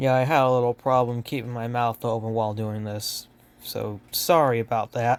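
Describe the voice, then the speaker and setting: With a normal speaking voice, a man talks at a moderate pace and medium pitch, keeping his intonation fairly even. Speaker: toy collector youtuber. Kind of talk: toy review showcase.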